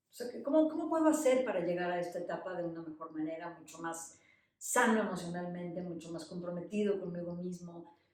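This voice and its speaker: A woman in a normal speaking voice, fairly low-pitched with ordinary pitch variation, at a fairly quick pace with big swings in loudness. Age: 60s. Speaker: podcast co-host. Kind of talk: casual conversation.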